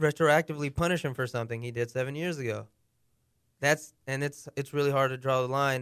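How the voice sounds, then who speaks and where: Fairly high in pitch, a man with an unremarkable speaking voice talks fairly quickly with fairly even intonation, in a dry, close sound with no echo and a very clean recording against a silent background. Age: 20s. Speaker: radio producer. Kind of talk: casual chat.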